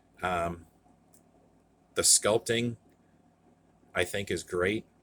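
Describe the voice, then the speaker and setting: Mumbling with a bright, sharp tone, a man keeps his intonation fairly even. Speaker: toy collector youtuber. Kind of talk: casual review monologue. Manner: halting, many fillers.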